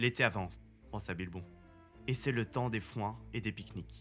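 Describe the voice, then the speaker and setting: A man at a medium pitch and moderate pace, with music in the background. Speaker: voice-over artist. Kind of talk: audiobook reading.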